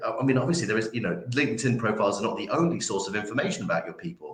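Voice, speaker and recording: Lively intonation from a man at medium pitch with a Yorkshire accent, with audible room echo around him. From Yorkshire, northern England. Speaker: recruitment trainer. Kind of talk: interview. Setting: livestream. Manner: many fillers and repetitions.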